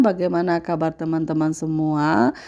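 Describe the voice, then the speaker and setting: Heard on a very clean recording against total silence, a woman talks at an even, moderate speed. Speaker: housewife vlogger. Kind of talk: voice-over narration of daily vlog. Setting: home, dubbed voice-over. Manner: casual, hesitant with fillers.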